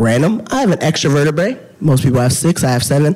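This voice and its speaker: A man's voice over noticeable background noise. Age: 30s. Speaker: dietitian and patient speaker. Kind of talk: conference talk. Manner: animated.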